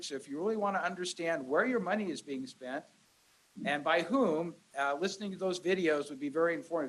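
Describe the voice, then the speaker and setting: A loud man with a high pitch. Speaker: county supervisor. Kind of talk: public meeting address. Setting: community meeting room with crowd.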